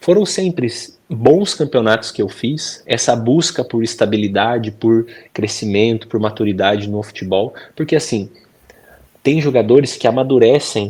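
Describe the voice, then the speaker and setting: Here is a man with a normal speaking voice and ordinary pitch variation, talking at a moderate pace. The recording is very clean, with a silent background. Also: medium pitch for a man. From Brazil, Bragança Paulista (São Paulo state). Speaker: professional footballer. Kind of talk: interview. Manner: casual conversational.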